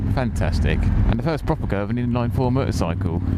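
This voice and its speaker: Against noticeable background noise, a man talks with pitch that swings very widely. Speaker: motorcycle vlogger. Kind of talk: casual motovlog talk while riding. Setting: outdoors. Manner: fast.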